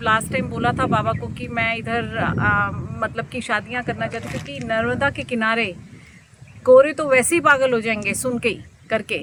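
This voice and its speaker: A woman speaks at a fairly high pitch with ordinary pitch variation, and noticeable background noise runs beneath her. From London, England (family from Meerut, India). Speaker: devotee visitor, restaurant owner. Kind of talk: interview.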